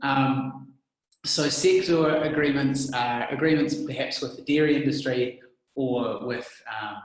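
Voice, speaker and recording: In a New Zealand accent, a man with a fairly high voice speaks at a fairly slow pace with fairly even intonation, and audible room echo is present. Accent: Kiwi. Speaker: immigration adviser. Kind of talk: casual discussion.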